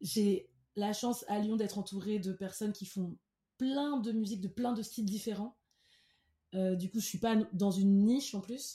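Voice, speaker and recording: A woman speaks at a fairly slow pace and medium pitch, with long, frequent pauses. Her tone is dark, mellow and somewhat breathy, with fairly even intonation. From Cameroon. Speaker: singer-songwriter. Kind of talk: interview.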